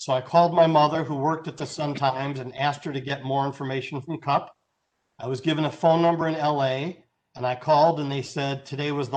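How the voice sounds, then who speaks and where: A man talks at a fairly quick pace with an American accent. His fairly high voice stays monotone and flat. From Chicago area, US Midwest. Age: 60s. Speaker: guest speaker, former radio DJ and videographer. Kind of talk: talk to a club meeting.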